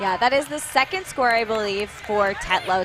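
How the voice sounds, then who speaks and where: A woman's medium-pitched voice with lively intonation, music playing in the background. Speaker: play-by-play sports commentator. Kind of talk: live commentary.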